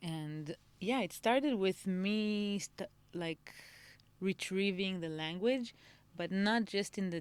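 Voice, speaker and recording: Moving at a very slow pace, a woman's voice shows ordinary pitch variation. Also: medium pitch for a woman. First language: Moroccan Arabic (heritage tongue; not spoken growing up). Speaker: singer and songwriter. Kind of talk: podcast interview. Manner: halting, many repetitions and fillers.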